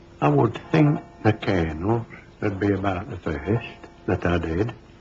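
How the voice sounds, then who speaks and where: Noticeable background noise runs under the voice. The speaker goes at a very slow pace. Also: man. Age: 70s. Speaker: estate builder. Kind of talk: interview testimony.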